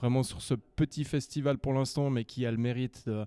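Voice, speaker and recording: A man's dark, mellow tone unfolds at a fairly slow pace on a very clean recording with a silent background. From Switzerland, canton of Vaud. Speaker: fantasy and science fiction author. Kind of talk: interview. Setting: literary festival.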